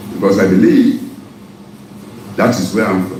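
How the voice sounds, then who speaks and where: Noticeable background noise is heard throughout. A man talks with audible room echo. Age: 60s. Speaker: businessman and former pilot. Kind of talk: political interview. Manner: animated.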